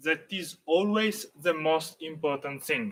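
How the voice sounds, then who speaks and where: At a very slow pace, a man with an Italian accent speaks in a bright, sharp tone. His intonation is lively, with light background noise behind him. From Italy. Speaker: dance teacher. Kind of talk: tutorial. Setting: live stream. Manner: halting, many fillers. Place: garden. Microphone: camera far.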